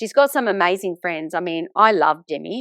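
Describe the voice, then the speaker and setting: A woman with an Australian accent talks at a fairly quick pace with lively intonation, in a dry, close sound with no echo. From Sydney, Australia (Italian migrant family). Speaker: author and teacher. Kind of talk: podcast interview.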